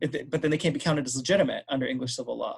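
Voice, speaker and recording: A man speaks with an American accent at a fairly high pitch. His voice is somewhat breathy, with fairly even intonation. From US, Los Angeles. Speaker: history professor. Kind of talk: Q&A answer in academic talk. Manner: hesitant fillers, frequent um.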